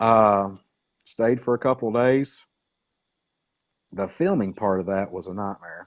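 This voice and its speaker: With a Southern US accent, a man speaks fairly slowly in a fairly low pitch, showing ordinary pitch variation and long, frequent pauses, over a quiet background. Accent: southern drawl. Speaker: cryptid researcher. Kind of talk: casual interview chat. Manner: halting, many fillers.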